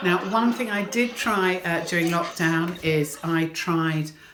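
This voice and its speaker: Over noticeable background noise, a woman with a British accent speaks at a fairly low pitch with lively intonation. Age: 60s. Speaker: stand-up comedian. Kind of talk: stand-up.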